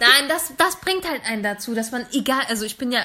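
A woman with a high pitch keeps a moderate speed while noticeable background noise sounds around her. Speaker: podcast co-host. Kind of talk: casual chat. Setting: late-night home recording after iftar.

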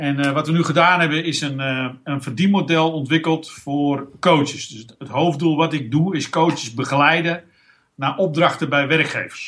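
A man with a fairly high voice speaks at a moderate pace, his intonation fairly even but his loudness swinging widely. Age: 50s. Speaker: business owner and coach, former physiotherapist. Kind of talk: casual interview. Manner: halting, many fillers.

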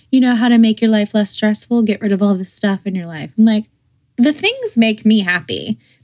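Somewhat breathy, a woman speaks at a fairly high pitch. Her pace is moderate and her pitch variation ordinary. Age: 30s. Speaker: podcast co-host. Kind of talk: casual chat.

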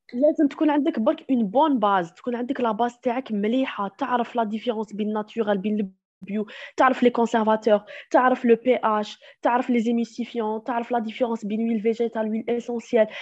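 This woman has a plain, everyday voice with a fairly high pitch. She talks at a fairly quick pace with fairly even intonation. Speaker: chemical engineer and natural cosmetics maker. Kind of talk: podcast interview.

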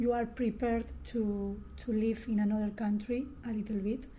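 A woman's monotone voice with flat intonation and audible room echo. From Bilbao, Spain. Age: 20s. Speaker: exchange student. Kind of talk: group interview.

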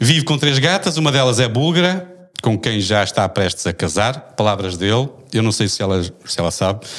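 A man at medium pitch swings very widely up and down in tone while keeping a moderate pace. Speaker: podcast moderator. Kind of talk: casual chat.

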